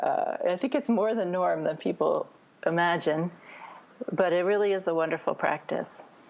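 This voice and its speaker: A woman talks at a moderate pace, her loudness very even throughout. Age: 60s. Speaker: spiritual teacher. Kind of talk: interview.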